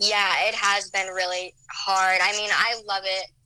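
At a fairly slow pace, a woman talks with a medium pitch and fairly even intonation. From Nebraska, Omaha area. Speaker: singer-songwriter. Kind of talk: interview.

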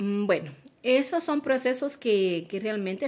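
The recording is very clean and the background silent. A woman talks there with lively intonation. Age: 40s. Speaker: entrepreneur. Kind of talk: interview.

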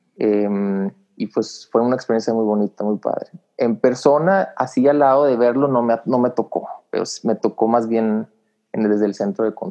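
A man with a plain, everyday voice talks at a moderate pace, medium in pitch, with ordinary pitch variation. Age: 30s. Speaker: engineer, former space agency worker. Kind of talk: casual interview.

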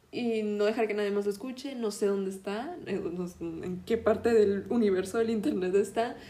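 A woman with a medium pitch talks at a moderate speed, her pitch varying in an ordinary way and her speech hardly pausing. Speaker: podcast host. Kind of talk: casual monologue; history storytelling. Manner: halting.

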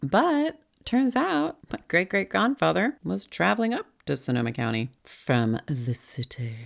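The speaker goes at a fairly slow pace with hardly any pauses and an animated tone. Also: woman. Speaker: podcast host. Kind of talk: casual solo monologue. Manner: animated, loud, profane.

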